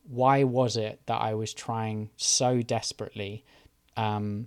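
The very clean recording with a silent background captures a man with fairly even intonation. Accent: British. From UK. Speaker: podcast host. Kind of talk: solo monologue on mental health. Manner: hesitant, many filler ums.

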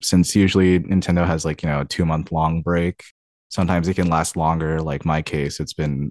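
Against a quiet background, the speaker talks at a moderate pace with monotone, flat intonation and a dry, close sound with no echo. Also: man. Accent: American. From US Pacific Northwest, Tacoma, Washington. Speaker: video game QA tester. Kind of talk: interview. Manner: hesitant, many fillers.

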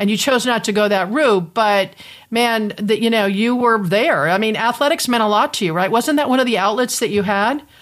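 A woman speaks with an American accent in an ordinary speaking voice, fairly high in pitch with ordinary pitch variation. Her pace is moderate and her loudness very even. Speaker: podcast host. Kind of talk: interview conversation. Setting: video call.

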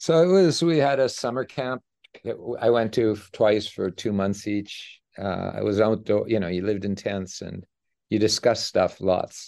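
An ordinary speaking voice moves at a moderate pace with ordinary pitch variation. The background is quiet. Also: man, fairly low pitch for a man. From Canada, Edmonton, Alberta. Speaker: economics professor. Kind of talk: interview.

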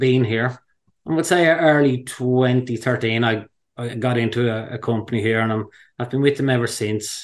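A man with an Irish accent, medium-pitched, at a moderate pace against a quiet background. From Ireland, County Wicklow. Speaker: fly angler. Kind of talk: casual interview.

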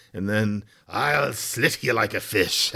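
Speaking fairly slowly, a man uses a gruff, put-on character voice pitched fairly low. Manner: menacing.

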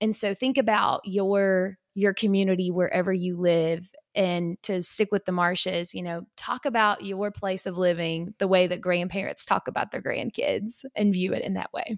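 With a Kentucky accent, a woman speaks at a medium pitch with fairly even intonation and hardly any pauses, in a dry, close sound with no echo on a very clean recording with a silent background. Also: moderate pace. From rural Kentucky. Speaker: agriculture professional and podcast host. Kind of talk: interview conversation.

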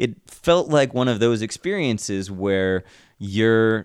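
Here a man with an ordinary speaking voice talks at medium pitch with ordinary pitch variation. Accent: American. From Ohio, Kent. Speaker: musician and house show organizer. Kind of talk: casual interview chat.

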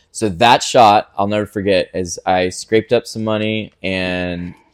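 The sound is dry and close, with no echo. A man with an American accent has a plain, everyday voice, a fairly low pitch, and ordinary pitch variation. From US South. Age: 40s. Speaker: fitness gym owner. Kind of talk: interview.

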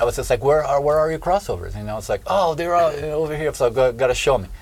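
A man with a fairly high voice talks very fast and with lively intonation as noticeable background noise plays behind him. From southern Brazil. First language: Portuguese. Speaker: drummer. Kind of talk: interview. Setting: in person.

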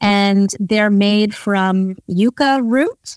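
A woman with a New York accent speaks at a medium pitch. The sound is dry and close, with no echo. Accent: New York American. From New York City, US. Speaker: entrepreneur and investor. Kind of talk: interview.

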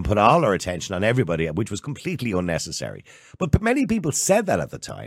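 Speaking very fast with an Irish accent, a man uses a fairly low pitch and very wide pitch swings. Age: 50s. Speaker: podcast host. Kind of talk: interview.

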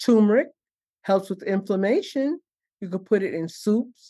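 Against a quiet background, a woman with a dark, mellow tone and lively intonation is heard in a dry, close sound with no echo. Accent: New York. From New York City (Harlem, Brooklyn). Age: 70s. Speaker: herbalist and chaplain. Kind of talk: casual interview.

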